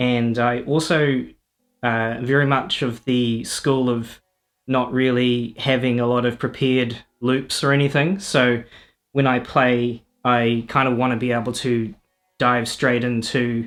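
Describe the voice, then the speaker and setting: In a very clean recording with a silent background, a man with a New Zealand accent speaks at a medium pitch and a fairly slow pace, his intonation monotone and flat and his loudness very even. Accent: New Zealand, noticeable. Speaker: electronic musician and streamer. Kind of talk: casual livestream talk explaining music setup. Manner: hesitant, many fillers. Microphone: first time using mic, feedback through laptop.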